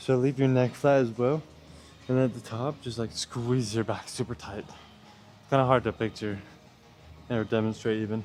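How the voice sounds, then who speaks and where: Mumbling at a moderate pace, a man speaks in a medium pitch with fairly even intonation. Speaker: gym vlogger. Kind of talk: casual workout vlog. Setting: gym.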